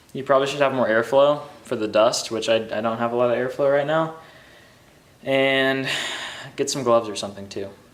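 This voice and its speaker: A man talks at a fairly quick pace with medium pitch and fairly even intonation, broken by long, frequent pauses. Audible room echo and noticeable background noise fill the recording. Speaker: car enthusiast YouTuber. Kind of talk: DIY vlog narration. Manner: monotone; casual, filler words.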